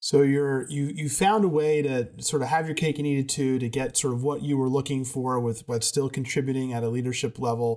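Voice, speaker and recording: This man has an ordinary speaking voice at a medium pitch, talking at a fairly quick pace with fairly even intonation and hardly any pauses. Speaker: podcast host. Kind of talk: interview.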